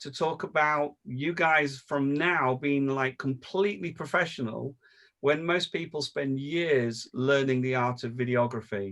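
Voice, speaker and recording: Fairly slow and fairly high-pitched, a man talks in an unremarkable speaking voice. The background is quiet. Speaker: video production trainer. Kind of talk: online training session.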